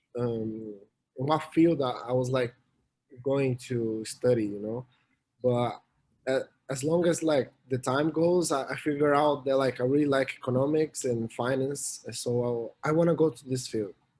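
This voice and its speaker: A man with a Portuguese accent talks at a moderate pace with fairly even intonation. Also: medium pitch for a man. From Brazil, São Paulo. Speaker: college swimmer and student. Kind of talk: interview. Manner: halting, many fillers.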